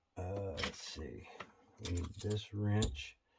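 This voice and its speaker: A man speaks at a very slow pace with a fairly low pitch. Audible room echo surrounds his voice. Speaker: RC model building hobbyist. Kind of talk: tutorial. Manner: casual, halting with fillers.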